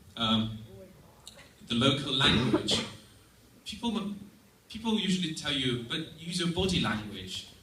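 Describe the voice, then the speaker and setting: Amid noticeable background noise and audible room echo, a man with a fairly high voice speaks at a fairly slow pace, with very wide pitch swings and long, frequent pauses. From Estonia. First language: Russian. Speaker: exchange student. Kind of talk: presentation.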